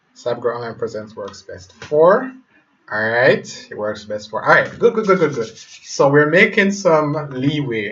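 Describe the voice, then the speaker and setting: A man talks in a Jamaican accent at a moderate pace. His intonation is lively. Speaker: web developer. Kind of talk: tutorial. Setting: live stream. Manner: halting.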